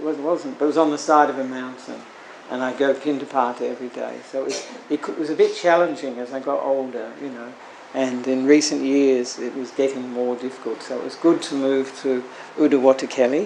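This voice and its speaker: Delivered at a fairly quick pace in monotone, flat intonation, the voice shows big swings in loudness amid noticeable background noise and audible room echo. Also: man, medium pitch for a man. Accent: Australian. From Australia. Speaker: Buddhist monk. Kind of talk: sermon. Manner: halting, many fillers.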